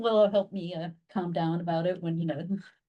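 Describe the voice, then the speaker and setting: A woman with a dark, mellow tone sounds somewhat breathy, with fairly even intonation. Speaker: library staff programmer. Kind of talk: meeting report. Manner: fast; casual with many fillers.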